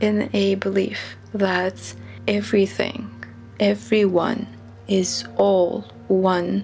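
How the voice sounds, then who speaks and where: Very slow speech with a non-native accent and very wide pitch swings, music in the background. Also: woman, medium pitch for a woman. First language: not English. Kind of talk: reflective talk to camera. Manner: slow-paced.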